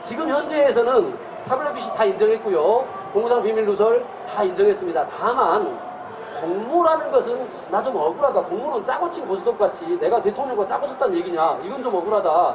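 Over crowd noise and audible room echo, a man talks at a fairly quick pace with an extremely high pitch and very wide pitch swings. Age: middle-aged. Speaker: lawyer. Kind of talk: public talk (street busking event).

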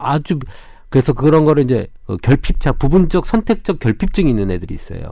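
With a dark, mellow tone and vocal fry, a man talks at a fairly quick pace in a fairly high pitch that swings very widely. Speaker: Korean medicine doctor. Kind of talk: medical advice chat.

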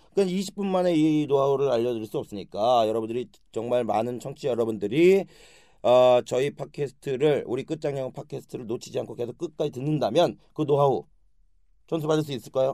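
Pitch varies in an ordinary way here. The tone is dark and mellow. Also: man, fairly high pitch for a man, fairly quick pace. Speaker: comedian and podcast host. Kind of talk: casual chat. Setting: studio.

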